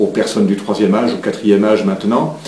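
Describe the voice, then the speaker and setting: Audible room echo and noticeable background noise surround a man whose fairly low voice keeps a fairly even intonation. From France, Saumur area (Anjou). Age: 60s. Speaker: local election candidate. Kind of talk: interview. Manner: halting, many hesitations.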